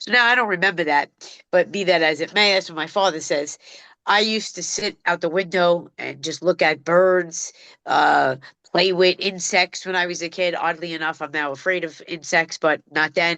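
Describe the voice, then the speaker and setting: A woman with a Brooklyn accent, fairly low-pitched, at a moderate pace with fairly even intonation, in dry, close sound with no echo. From New York City, Brooklyn (Bensonhurst). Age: 50s. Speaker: dog trainer. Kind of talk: podcast interview. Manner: casual street-style speech.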